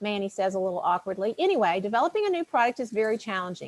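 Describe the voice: The delivery is plain reading aloud. Nothing more is added to it.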